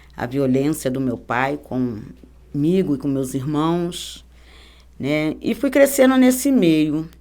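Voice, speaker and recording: A woman speaks with a very deep, low pitch and a dark, mellow tone, swinging very widely in pitch. The recording is very clean, with a silent background. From Rio de Janeiro, Brazil. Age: 50s. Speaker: church member giving testimony. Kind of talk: testimony.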